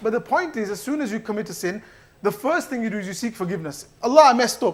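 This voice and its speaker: On a very clean recording with a silent background, the speech races at a very fast pace with lively intonation. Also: man. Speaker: mosque youth speaker. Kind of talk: religious talk. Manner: casual.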